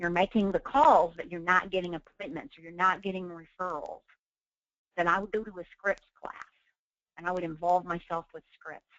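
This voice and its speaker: Speaking with an Oklahoma accent, a woman with a fairly low pitch talks at a moderate pace, showing ordinary pitch variation and big swings in loudness. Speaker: real estate trainer. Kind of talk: webinar training.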